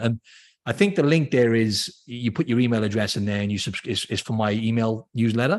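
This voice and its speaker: A man's medium-pitched voice at a very fast pace, on a very clean recording with a silent background. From Wales, Cardiff. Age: 30s. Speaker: fitness trainer. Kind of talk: podcast interview.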